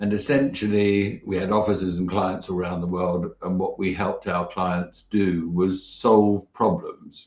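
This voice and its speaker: With a British accent, a man speaks fairly slowly at a fairly low pitch, with fairly even intonation and hardly any pauses. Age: 60s. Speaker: business mentor and campaign founder. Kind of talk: interview.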